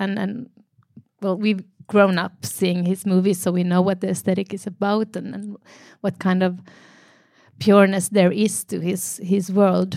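Speaking with a Finnish accent, a woman with a dark, mellow tone talks in a monotone, flat intonation with long, frequent pauses, on a very clean recording with a silent background. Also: medium pitch for a woman, moderate pace. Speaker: actor. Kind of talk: Q&A panel conversation. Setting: stage with audience.

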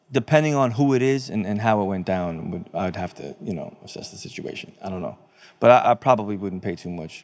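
With a plain, everyday voice, a man speaks at a fairly low pitch and a fairly quick pace, his intonation lively and his loudness swinging widely. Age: 30s. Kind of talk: casual chat. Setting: studio.

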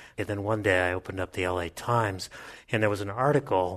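This is an ordinary speaking voice with ordinary pitch variation. The background is quiet. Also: man. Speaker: policy researcher and professor. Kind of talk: panel discussion before a live audience. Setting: stage with audience.

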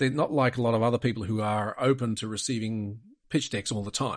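A man's medium-pitched voice with an Australian accent, fairly even intonation, and a quiet background. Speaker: private equity investor. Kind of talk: interview. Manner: direct, to the point.

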